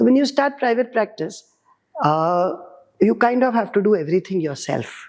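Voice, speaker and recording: A woman talks at a moderate pace, her fairly high pitch making very wide swings. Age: old. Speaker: doctor. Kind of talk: interview.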